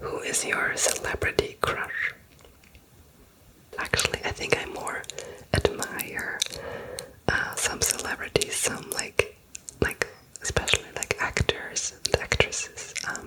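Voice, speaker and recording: A woman whispers at a very slow pace, leaving long, frequent pauses, with noticeable background noise. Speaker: ASMR creator. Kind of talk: casual rambling talk to camera. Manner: whispered.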